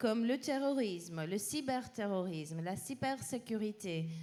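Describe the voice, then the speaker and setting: Speaking at a fairly slow pace, a woman with a non-native accent uses a fairly high voice. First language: not French (speaking French). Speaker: policy researcher presenting a peace index. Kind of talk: panel presentation. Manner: halting.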